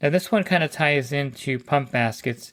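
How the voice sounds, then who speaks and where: The man's pitch is fairly high. He has an unremarkable speaking voice. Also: very clean recording, silent background. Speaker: pool service professional. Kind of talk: tutorial. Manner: casual, conversational.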